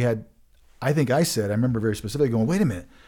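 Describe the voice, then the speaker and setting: A man with an American accent speaks in a dark, mellow tone with ordinary pitch variation. The recording is very clean and the background silent. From Colorado. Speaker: podcast host. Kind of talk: casual chat. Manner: fast.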